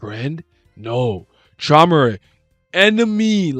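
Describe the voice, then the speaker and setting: Using a put-on character voice, a man talks at a fairly high pitch with very wide pitch swings as faint music plays in the background. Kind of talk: broken, simple speech. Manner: halting, monosyllabic.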